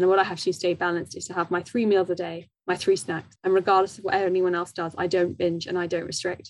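A woman with a southern English accent talks at a very fast pace with hardly any pauses, her fairly low pitch held in a monotone, flat intonation. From southwest London, England. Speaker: guest speaking about her eating disorder. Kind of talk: interview about personal experience. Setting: video call.

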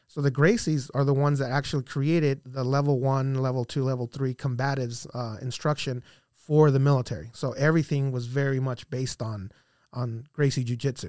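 A man with a plain, everyday voice at medium pitch speaks at a fairly quick pace with fairly even intonation, in a very clean recording with a silent background. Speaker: Army veteran and podcaster. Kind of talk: casual chat.

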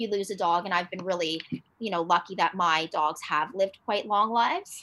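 A woman with a Canadian accent speaks at a medium pitch in a bright, sharp tone with fairly even intonation. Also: very clean recording, silent background. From Toronto, Canada. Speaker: dog owner. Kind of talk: casual interview chat. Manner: hesitant, many fillers.

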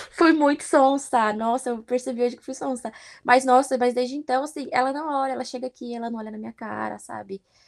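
Against a silent background in a very clean recording, a woman speaks at a high pitch with ordinary pitch variation. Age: 20s. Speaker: au pair. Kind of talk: interview. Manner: animated.

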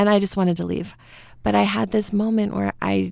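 The recording is very clean, and its background is silent. On it, a woman talks fairly quickly. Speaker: speaker and former student. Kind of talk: interview conversation.

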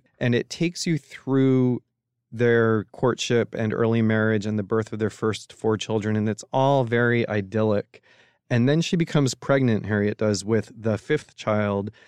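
A man with an ordinary speaking voice, medium in pitch, talks at a moderate pace with ordinary pitch variation. His loudness stays very even, and the sound is dry and close with no echo. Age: 40s. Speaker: book editor. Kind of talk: casual chat.

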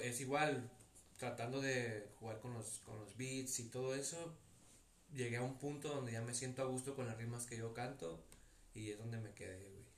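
A man's medium-pitched voice carries fairly even intonation amid audible room echo. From Tepic, Nayarit, Mexico. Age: 20s. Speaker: rapper and nursing student. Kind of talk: casual chat.

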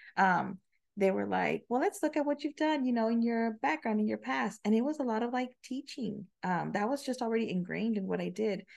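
With a normal speaking voice, a woman talks at a fairly quick pace in a fairly high pitch, her intonation lively against a quiet background. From Del Rio, Texas, on the Mexican border. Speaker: podcast guest, married couple sharing their story. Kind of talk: casual interview conversation.

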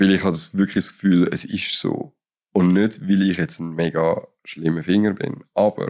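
A man with a plain, everyday voice speaks at a moderate pace. His fairly low pitch shows ordinary variation. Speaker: podcast co-host. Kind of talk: casual chat. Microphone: too far from the microphone.

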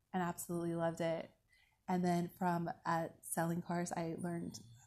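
A woman with an American accent and a plain, everyday voice speaks at a moderate pace with a fairly low pitch. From Alaska, US Pacific Northwest. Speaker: life coach. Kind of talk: interview. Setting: outdoors at sunset.

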